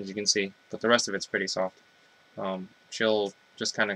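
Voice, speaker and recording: Bright and sharp in tone, a man with a fairly low pitch talks at a fairly quick pace. The sound is dry and close, with no echo. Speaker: parent vlogger. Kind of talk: casual vlog.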